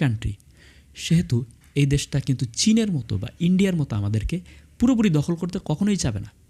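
A man's voice is dark and mellow in tone and somewhat breathy. His pitch swings very widely. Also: very clean recording, silent background. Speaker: YouTube commentator. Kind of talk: opinion monologue. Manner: halting, with frequent pauses and fillers.

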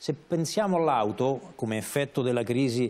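The man's tone is dark and mellow. He keeps a moderate pace and ordinary pitch variation. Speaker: journalist and radio director. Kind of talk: talk show discussion. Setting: studio. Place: studio. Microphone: lapel.

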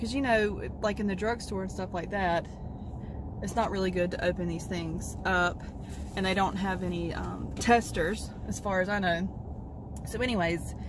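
The speech moves at a moderate pace, with noticeable background noise. The sound is dry, with no echo. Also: woman. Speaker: vlogger. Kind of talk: casual vlog chat. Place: car. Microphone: phone near.

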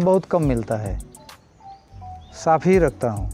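A man speaks at a very slow pace with lively intonation. The sound is dry with no echo, and faint music plays in the background. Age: 60s. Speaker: milkman. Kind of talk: interview answer. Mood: calm, reflective. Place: farm machine. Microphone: lapel.

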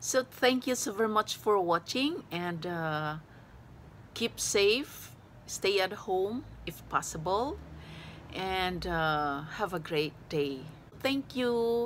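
Over light background noise, a woman speaks very slowly with long, frequent pauses. Her intonation is lively. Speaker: vlogger. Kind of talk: casual vlog chat. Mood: cheerful, laughing. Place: home room. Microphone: phone near.

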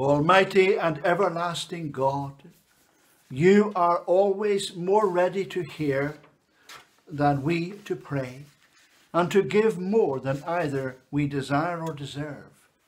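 At a very slow pace, a man speaks in a high pitch with ordinary pitch variation. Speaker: church minister leading service. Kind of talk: fervent intercessory prayer, slow and solemn, with congregational responses. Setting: church service recorded for online video. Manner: earnest, pleading, measured and reverent; slow, rhythmic, pausing for the response. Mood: calm, solemn. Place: home room. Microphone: phone near.

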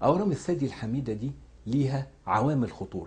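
A man with an Egyptian accent, fairly quick pace and lively intonation. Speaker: cancer surgeon. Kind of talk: health education talk. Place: office.

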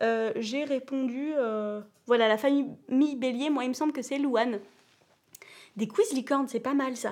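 With a slight southern French accent, a woman talks at a moderate pace in a high pitch, her pitch varying in an ordinary way. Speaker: children's channel host. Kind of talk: live-stream quiz chat. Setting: at home on a sofa. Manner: animated; hesitant, many fillers. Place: home room.

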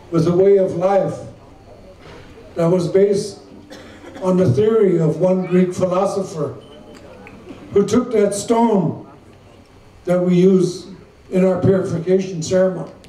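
With audible room echo, a man speaks at a high pitch and a fairly slow pace, his loudness very even and his pauses long and frequent. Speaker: speaker. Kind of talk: formal public address. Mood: slow, solemn, measured. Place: tent. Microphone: podium.

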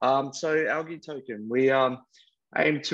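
A man speaking at a fairly slow pace over a quiet background. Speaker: project proposer. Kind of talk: proposal presentation. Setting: video call. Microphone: video call.

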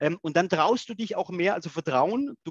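Against a quiet background, a man speaks in a high pitch with ordinary pitch variation, and the sound is dry with no echo. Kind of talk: discussion. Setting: video call. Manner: halting, repeats words. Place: home room. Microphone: headset.

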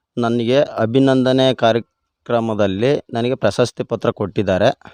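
Recorded dry and close with no echo against a quiet background, a man of medium pitch speaks with fairly even intonation. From India, Karnataka, Hassan district. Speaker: farmer. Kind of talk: interview. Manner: halting.

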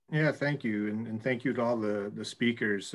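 Here a man with a fairly low pitch uses an ordinary speaking voice and fairly even intonation. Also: quiet background. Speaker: school administrator. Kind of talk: formal meeting. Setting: video call. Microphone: video call.

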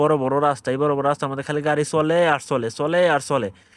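In a quiet background, a man talks in an animated tone at a fairly high pitch. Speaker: driver and video vlogger. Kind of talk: casual travel vlog narration.

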